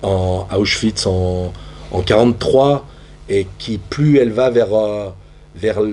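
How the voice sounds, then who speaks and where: Noticeable background noise accompanies a man who speaks fairly slowly. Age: 60s. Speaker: theatre practitioner. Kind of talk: panel discussion. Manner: halting.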